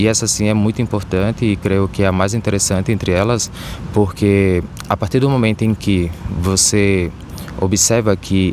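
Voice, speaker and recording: A man speaks at a fairly low pitch with very even loudness. Noticeable background noise is present. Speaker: psychoanalyst. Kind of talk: casual explainer talk to camera.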